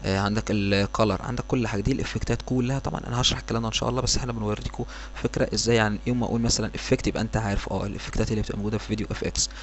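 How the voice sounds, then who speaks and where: Against noticeable background noise, a man with an Egyptian accent talks at a very fast pace. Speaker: software tutorial instructor. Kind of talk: tutorial. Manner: hesitant, many fillers.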